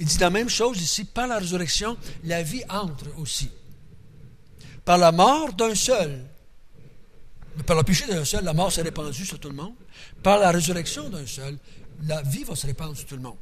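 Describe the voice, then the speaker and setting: A high-pitched man speaks at a moderate pace with lively intonation and big swings in loudness. Long pauses come often, and the room echo is audible. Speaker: Bible teacher. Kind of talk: Bible study teaching. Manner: casual, conversational.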